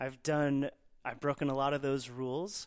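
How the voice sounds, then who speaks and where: With an American accent and a normal speaking voice, a man talks at a moderate pace and a fairly high pitch. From Texas, Dallas. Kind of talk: interview.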